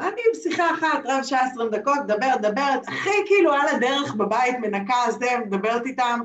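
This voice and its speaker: With noticeable background noise behind her, a woman speaks at a high pitch with lively intonation. Her pace is fairly quick, with hardly any pauses. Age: 40s. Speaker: NLP trainer and therapist. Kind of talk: interview. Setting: video call.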